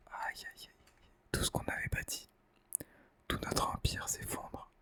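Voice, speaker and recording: A man is whispering. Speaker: ASMR gaming creator. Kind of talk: ASMR gaming commentary. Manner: whispered.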